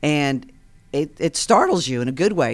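With an American accent, a woman speaks at a moderate pace in a very deep, low voice with ordinary pitch variation, on a very clean recording with a silent background. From Long Island, New York. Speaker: CEO of an educational tech company. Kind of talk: casual radio interview. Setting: studio.

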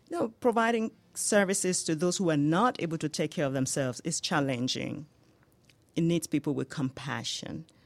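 A woman speaks at a moderate pace with a Nigerian accent. Her pitch is very deep and low. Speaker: home healthcare business owner. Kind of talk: radio interview. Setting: studio.

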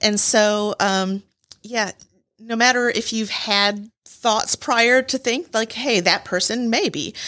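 Very slowly, a woman with an American accent speaks in a bright, sharp tone at a fairly high pitch, with ordinary pitch variation. The recording is very clean, with a silent background. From Michigan. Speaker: nonprofit chapter president. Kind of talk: radio interview. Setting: studio.

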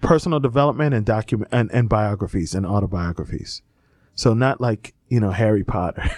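An ordinary speaking voice from a man, fairly low in pitch with ordinary pitch variation, at a fairly quick pace in a dry, close sound with no echo. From South Florida (Miami, Fort Lauderdale). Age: 40s. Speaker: entrepreneur and coach. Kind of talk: interview. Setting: studio.

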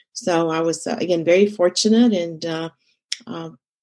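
This woman has a medium-pitched, plain, everyday voice. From Egypt, moved to Texas as a teenager. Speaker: consultant and community leader. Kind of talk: interview.

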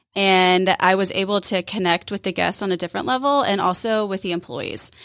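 A woman has a normal speaking voice at a medium pitch and a moderate pace. The recording is very clean, with a silent background. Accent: American. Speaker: restaurant co-owner. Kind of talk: radio interview. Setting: studio.

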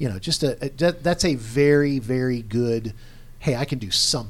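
A man's plain, everyday voice: a plain, everyday voice at medium pitch and a moderate pace. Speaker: radio show co-host. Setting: radio studio.

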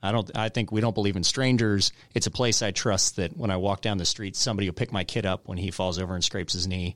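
A man at a very fast pace with hardly any pauses, fairly low in pitch with fairly even intonation, in a dry, close sound with no echo on a very clean recording with a silent background. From Woodstock, Georgia (metro Atlanta). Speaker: mayor and businessman. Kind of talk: radio interview. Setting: radio studio.

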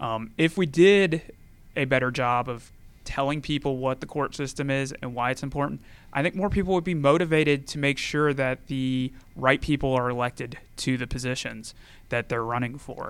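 A man's normal speaking voice at medium pitch and moderate pace, ordinary pitch variation, on a very clean recording with a silent background. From Georgia, US. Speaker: attorney and judicial candidate. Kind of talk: radio interview. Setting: radio studio.

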